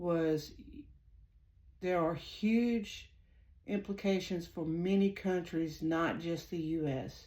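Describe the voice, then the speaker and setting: Amid audible room echo, a woman with a strong Southern US accent speaks at a very slow pace in a fairly low, dark and mellow voice with fairly even intonation. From US South. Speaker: psychic tarot reader and channel host. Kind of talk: casual monologue to viewers. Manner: hesitant, many fillers.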